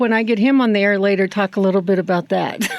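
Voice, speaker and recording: This is a woman speaking. There is noticeable background noise. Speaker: ranch rodeo association radio guest co-host. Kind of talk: casual radio chat. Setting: radio studio. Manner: mumbling.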